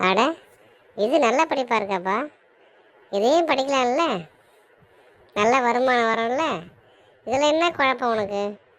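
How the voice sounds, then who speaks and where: High-pitched woman in a cartoonish character voice at a fairly slow pace. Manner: blunt, questioning.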